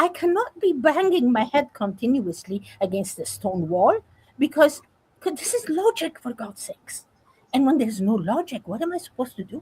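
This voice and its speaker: A woman talks at a moderate pace in a high voice, with very wide pitch swings and big swings in loudness. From Afghanistan. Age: 70s. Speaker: women's rights advocate. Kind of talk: interview. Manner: halting, many repetitions; emphatic.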